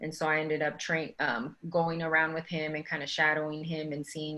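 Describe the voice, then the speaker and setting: A woman with an American accent speaks in a very deep, low pitch and a monotone, flat intonation. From Texas, Dallas. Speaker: physician. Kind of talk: panel talk.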